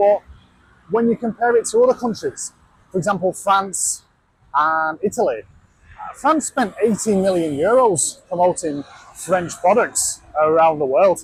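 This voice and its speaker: The man's voice is high in pitch. His intonation is lively. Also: fairly slow pace. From Yorkshire, England. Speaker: travel vlogger. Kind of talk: casual vlog talk. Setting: out and about walking. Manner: casual with many fillers.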